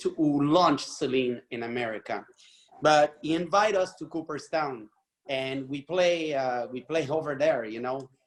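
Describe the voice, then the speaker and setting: Ordinary pitch variation marks this speech with a Quebec accent. The pace is moderate. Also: man, fairly high pitch for a man. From Quebec, Montreal. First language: French. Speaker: podcast co-host. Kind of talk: casual chat.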